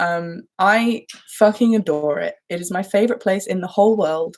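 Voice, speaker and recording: Her intonation lively and her tone animated, a woman talks at a fairly slow pace. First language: German. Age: 20s. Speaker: livestreamer. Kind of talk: casual chat. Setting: live stream.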